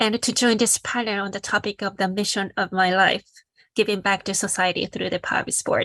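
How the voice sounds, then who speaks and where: On a very clean recording with a silent background, a woman talks at a fairly quick pace in a bright, sharp tone with monotone, flat intonation. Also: medium pitch for a woman, dry, close sound with no echo. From Japan. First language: Japanese. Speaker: social entrepreneur, sport for development founder. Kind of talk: panel presentation.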